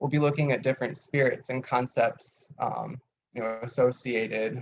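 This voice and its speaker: A man's normal speaking voice at a medium pitch, with fairly even intonation and a moderate pace. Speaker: teacher of occult herbalism. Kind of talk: lecture. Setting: video call class.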